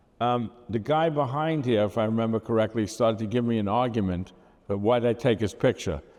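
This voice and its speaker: With a Brooklyn accent, a man speaks at a fairly quick pace. His pitch is medium, with ordinary variation. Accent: Brooklyn, New York. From Brooklyn, New York. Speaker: photographer recounting his work. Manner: rambling, conversational, with many fillers.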